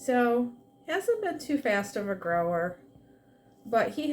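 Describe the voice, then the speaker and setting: A soft-spoken woman talks. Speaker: plant hobbyist vlogger. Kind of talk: casual plant update vlog. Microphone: quiet recording, no external mic.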